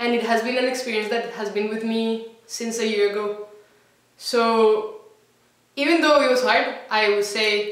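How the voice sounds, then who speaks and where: A woman with a Spanish accent, with audible room echo. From Colombia. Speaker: former language program student. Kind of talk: testimonial. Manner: halting, with repeated words.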